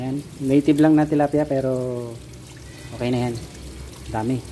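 A man's fairly high-pitched voice with a dark, mellow tone, fairly even intonation, a moderate pace and faint background noise

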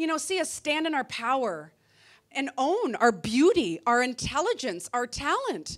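An animated tone at a fairly slow pace over a quiet background. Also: woman. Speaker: comedian. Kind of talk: stand-up comedy set. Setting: stage with audience. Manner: animated, punchy; acts out voices of women and men for contrast. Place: stage. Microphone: handheld.

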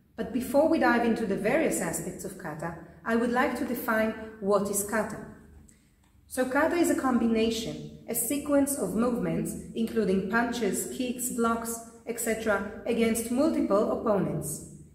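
A woman talks at a moderate pace with ordinary pitch variation. Room echo is audible. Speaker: karate instructor. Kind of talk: lecture. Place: gym.

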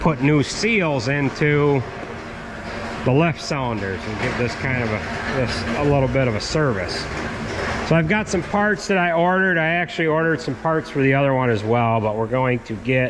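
Noticeable background noise around a man speaking at a moderate pace. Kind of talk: casual repair vlog narration. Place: workshop. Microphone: phone near.

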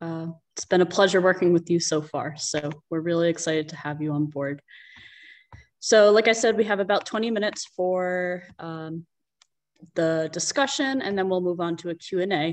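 This woman's voice sits at a fairly low pitch. She talks at a moderate pace with ordinary pitch variation. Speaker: event moderator. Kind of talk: moderated virtual town hall. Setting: video call. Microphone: earbuds.

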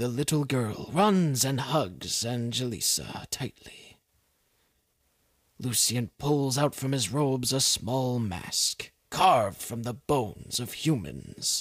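The man speaks at a fairly slow pace. His voice sits at a medium pitch. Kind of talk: dramatic narration.

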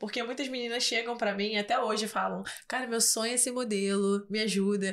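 A woman's voice with fairly even intonation. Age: 20s. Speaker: model and influencer; influencer. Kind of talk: casual interview. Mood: warm, reflective. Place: studio. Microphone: studio mic.

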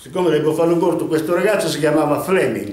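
There is audible room echo as a man speaks in a high pitch. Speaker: storyteller. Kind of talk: casual monologue storytelling. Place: home room. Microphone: camera far.

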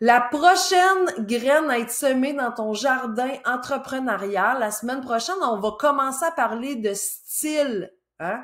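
In a Quebec accent, a woman with a high pitch speaks fairly slowly and with lively intonation. The background is quiet. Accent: Québécois French. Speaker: business coach. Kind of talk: solo educational video talk. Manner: casual. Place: home room. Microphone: webcam.

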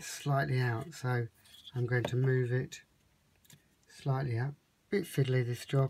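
Somewhat breathy and monotone, with flat intonation, a man speaks at a fairly slow pace over light background noise. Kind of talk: tutorial. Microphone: phone near.

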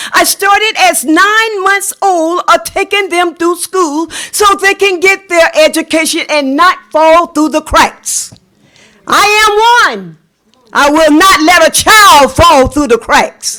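A woman with a South Carolina accent speaks at an extremely high pitch in a raised, projected voice. Her pace is very slow. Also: ordinary pitch variation. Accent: Southern US, South Carolina. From US South, South Carolina. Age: 70s. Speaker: parent, public commenter. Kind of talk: public comment at board meeting. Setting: school board meeting.

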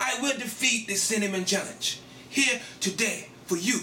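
Moderate pace and high pitch from a man, with ordinary pitch variation, audible room echo and light background noise. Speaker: challenge video host. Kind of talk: casual vlog chat. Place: kitchen. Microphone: camera far.

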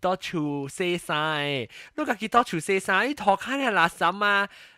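With a bright, sharp tone and high pitch, a man speaks in a raised, projected voice full of lively intonation, the sound dry and close with no echo. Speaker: podcast host. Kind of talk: casual chat. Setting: video call.

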